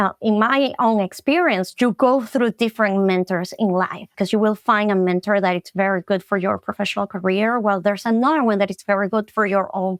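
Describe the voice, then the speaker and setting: On a very clean recording with a silent background, a woman with a Latin American accent talks at a fairly quick pace in a medium pitch with ordinary pitch variation. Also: dry, close sound with no echo. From Venezuela. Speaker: marketing specialist. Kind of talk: podcast interview.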